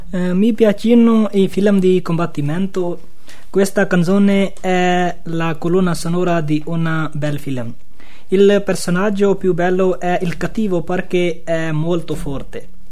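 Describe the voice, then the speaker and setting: Against noticeable background noise, a man with a high-pitched voice speaks at a very slow pace. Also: fairly even intonation. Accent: Pakistani. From Pakistan. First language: Urdu (speaking Italian). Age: 20s. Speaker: asylum seeker. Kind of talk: radio interview.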